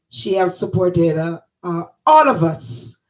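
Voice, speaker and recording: A woman with a Jamaican accent speaks at a fairly low pitch with ordinary pitch variation. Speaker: online talk show host. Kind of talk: casual interview.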